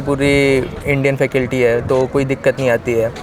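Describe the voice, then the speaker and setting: A man talks at a fairly high pitch with monotone, flat intonation. Noticeable background noise is present. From Uttar Pradesh, India. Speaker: medical student. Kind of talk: interview. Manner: halting.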